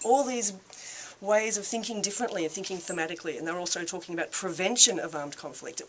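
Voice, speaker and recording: A woman with an Australian accent speaks very fast at a medium pitch, with ordinary pitch variation, big swings in loudness and noticeable background noise. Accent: thick Australian. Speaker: peace activist. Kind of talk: speech to a reception audience. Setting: reception with live audience. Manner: casual, with filler words.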